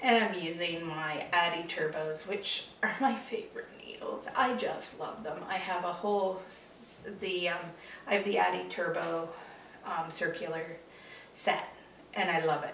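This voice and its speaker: With noticeable background noise and audible room echo, a woman talks at a fairly slow pace in a fairly low voice with ordinary pitch variation. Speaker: knitting podcaster. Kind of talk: casual chat.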